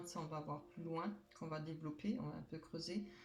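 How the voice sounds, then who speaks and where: Over noticeable background noise and audible room echo, a woman talks at a moderate pace with fairly even intonation. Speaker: tarot card reader. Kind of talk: tarot reading; casual chat. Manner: loud enough, not shouting.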